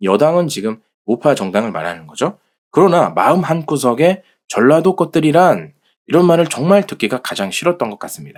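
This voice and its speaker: Pitch swings very widely and loudness rises and falls in big swings, all in a very clean recording with a silent background. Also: man, fairly high pitch for a man, moderate pace. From South Korea, Jeolla province. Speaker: political commentary channel host. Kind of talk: reading aloud.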